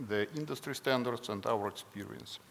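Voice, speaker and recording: A man speaks at a medium pitch in a Russian accent. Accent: non-native English, Russian. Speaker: company president. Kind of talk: conference presentation. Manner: halting, many fillers.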